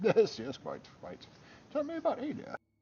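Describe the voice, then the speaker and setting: A man performs a put-on character voice pitched extremely high. He delivers it at a moderate pace. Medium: game stream. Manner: genteel, affected.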